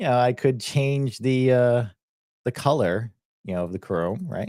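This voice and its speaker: A man with a Boston accent talks fairly slowly at a medium pitch, his voice swinging very widely in pitch. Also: very clean recording, silent background. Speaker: software educator. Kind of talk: live stream software tutorial. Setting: live stream screen share. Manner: casual, filler-heavy.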